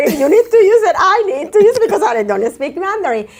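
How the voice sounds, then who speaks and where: A woman with a Spanish accent at a very fast pace, with noticeable background noise. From Colombia, Caribbean coast. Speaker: therapist. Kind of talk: interview. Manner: halting.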